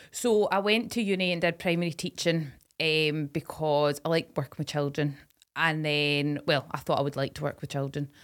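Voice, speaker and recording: A woman speaks with a Scottish accent at a moderate pace. Her pitch is very deep and low, with ordinary pitch variation. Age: 20s. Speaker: podcast co-host, former farming tutor. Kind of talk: casual chat.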